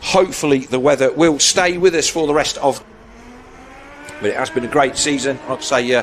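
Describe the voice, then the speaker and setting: A man with a British accent speaks at a fairly high pitch with ordinary pitch variation. He makes long, frequent pauses over noticeable background noise. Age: 60s. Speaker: motorsport commentator. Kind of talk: live commentary.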